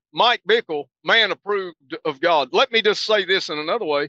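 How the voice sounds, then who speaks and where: At a moderate pace, a man uses a raised, projected voice with a bright, sharp tone, recorded dry and close with no echo. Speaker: podcast co-host. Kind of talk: casual chat. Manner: composed.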